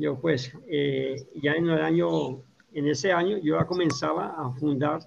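A man with a plain, everyday voice, fairly high in pitch, with ordinary pitch variation and a fairly slow pace. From Colombia. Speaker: agronomist and organic farming educator. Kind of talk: interview.

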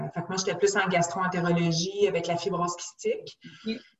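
A woman talks with a fairly low pitch, keeping to a moderate pace. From Quebec, west island of Montreal. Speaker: nutritionist. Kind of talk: casual interview.

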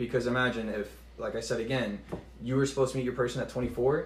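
In an American accent, the speaker talks at a fairly quick pace with vocal fry and fairly even intonation. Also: man. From Texas. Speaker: Marine recruiter. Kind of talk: casual chat.

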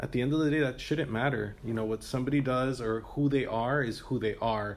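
A man talks in a plain, everyday voice with an American accent, pitched at a medium level. His intonation stays fairly even as he moves at a fairly quick pace. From Miami, Florida. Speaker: health educator. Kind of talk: interview.

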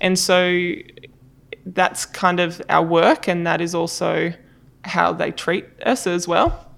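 An Australian accent in a monotone, flat intonation, at a very slow pace with long, frequent pauses. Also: woman, fairly low pitch for a woman. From Australia, far south coast of New South Wales. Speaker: design director. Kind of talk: interview.

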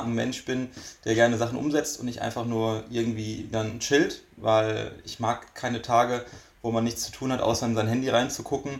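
This man's intonation is monotone and flat, his pitch medium. He talks at a moderate speed. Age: 20s. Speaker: magician. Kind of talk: casual chat.

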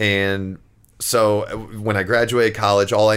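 This is a normal speaking voice at a moderate pace. The recording is very clean, with a silent background. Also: man. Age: 30s. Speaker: real estate agent. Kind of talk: casual chat. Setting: in host's basement.

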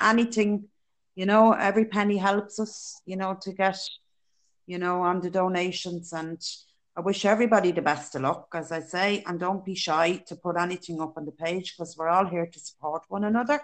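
A woman speaks at a fairly quick pace with a Dublin accent. Her loudness swings widely while her pitch varies in an ordinary way. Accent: Dublin Irish. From Dublin, Ireland. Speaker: childminder and charity runner. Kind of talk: casual interview.

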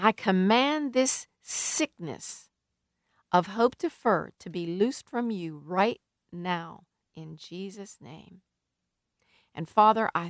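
A woman's very slow speech with long, frequent pauses, lively intonation and big swings in loudness, in a dry, close sound with no echo. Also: very clean recording, silent background. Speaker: radio preacher. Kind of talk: sermon; fervent prayer. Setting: radio broadcast. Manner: earnest, pleading, impassioned; flowing, rhythmic, with heartfelt emphasis.

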